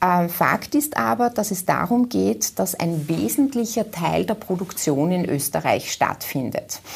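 A woman with a fairly low pitch talks at a fairly slow pace with very wide pitch swings and hardly any pauses. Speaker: business association executive. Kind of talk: TV interview.

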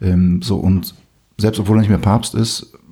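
A man's fairly low, somewhat breathy voice with a dark, mellow tone and ordinary pitch variation. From Poland. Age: 40s. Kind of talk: casual chat.

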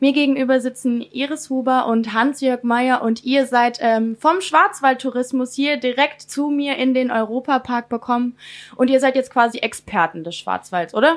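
A woman's high-pitched voice moves at a moderate pace with ordinary pitch variation. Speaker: radio host. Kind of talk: radio interview. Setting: studio.

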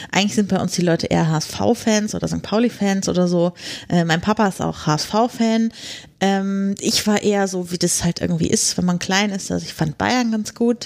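At a moderate pace, a woman with a plain, everyday voice speaks at a medium pitch with fairly even intonation. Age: 30s. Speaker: podcaster. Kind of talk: casual interview. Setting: podcast conference.

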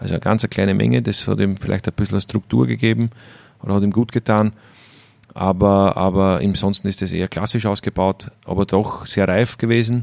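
In an Austrian accent, the speaker goes at a fairly quick pace with ordinary pitch variation and a dry, close sound with no echo. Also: man, fairly low pitch for a man. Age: 30s. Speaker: winemaker. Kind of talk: casual interview. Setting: at the winery.

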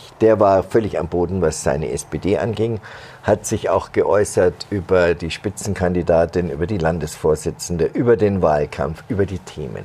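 A man speaks at a moderate pace with a very deep, low pitch and ordinary pitch variation. Noticeable background noise is present. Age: 50s. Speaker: political journalist. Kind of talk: casual political discussion. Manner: halting.

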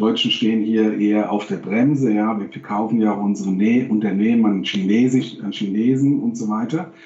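There is noticeable background noise as a man talks at a fairly low pitch with ordinary pitch variation. He keeps a moderate pace with hardly any pauses. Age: 50s. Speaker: professor and games industry expert. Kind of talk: interview. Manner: halting.

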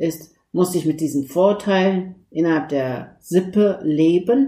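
Dark and mellow in tone, a woman's fairly low voice moves with ordinary pitch variation. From Turkey. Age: 50s. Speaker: lawyer and mosque founder. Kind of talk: interview.

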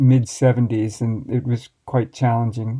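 With an American accent, a man speaks at a medium pitch in a dark, mellow tone and fairly even intonation. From USA. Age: 60s. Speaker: master baker and baking teacher. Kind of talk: interview. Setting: remote call across the Atlantic.

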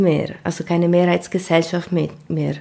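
Very slowly, a woman speaks in a fairly low pitch with monotone, flat intonation. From Ticino, Switzerland. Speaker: migrant activist. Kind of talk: interview. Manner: halting.

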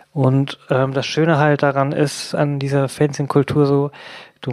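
A woman's very deep, low voice unfolds at a fairly slow pace. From Hamburg. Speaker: activist. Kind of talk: casual chat.

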